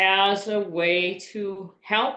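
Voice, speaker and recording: In an Upper Midwest accent, a woman speaks with monotone, flat intonation. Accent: Upper Midwest American. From US Midwest, Wisconsin. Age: 60s. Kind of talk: interview. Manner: halting.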